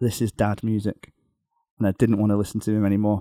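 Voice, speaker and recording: A man with a Liverpool accent talks very fast in a fairly low, dark and mellow voice. His intonation is monotone and flat, and the sound is dry and close with no echo. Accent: Liverpool (Scouse) English. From northwest England (near Liverpool). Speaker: rock guitarist. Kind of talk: casual interview chat. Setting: remote call from a hotel room.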